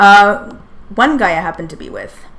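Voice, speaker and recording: With an American accent, a woman speaks in a room whose echo is audible. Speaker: streamer. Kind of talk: livestream commentary. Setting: livestream with screen share. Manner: halting, many fillers.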